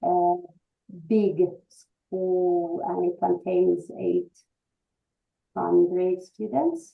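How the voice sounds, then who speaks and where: A woman's very slow speech, full of long, frequent pauses, over music in the background. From Russia. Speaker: English teacher. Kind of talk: presentation. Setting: video call. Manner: halting.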